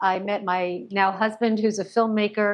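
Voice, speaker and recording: In an American accent, a woman with a plain, everyday voice talks at a moderate pace and medium pitch, her intonation fairly even. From United States. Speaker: nonprofit partnerships executive. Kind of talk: panel discussion.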